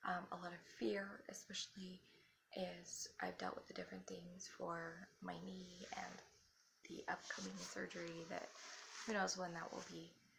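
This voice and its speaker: This soft-spoken woman talks at a moderate pace. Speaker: spiritual vlogger. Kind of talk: casual talk to camera. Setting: at home.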